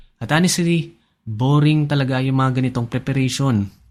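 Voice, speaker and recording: A fairly high-pitched man's voice at a fairly quick pace with ordinary pitch variation, in a very clean recording with a silent background. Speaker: personal finance YouTuber. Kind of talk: scripted narration.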